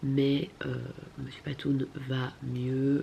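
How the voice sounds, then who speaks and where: Noticeable background noise sits behind a woman's voice. Her pitch is very deep and low, with monotone, flat intonation. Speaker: vlogger. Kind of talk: casual vlog talk.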